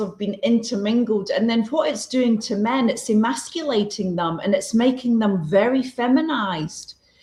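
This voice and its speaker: Over noticeable background noise, a woman talks at a moderate pace in a fairly high voice. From Scotland. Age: 60s. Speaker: holistic wellness expert. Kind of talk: podcast interview. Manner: direct.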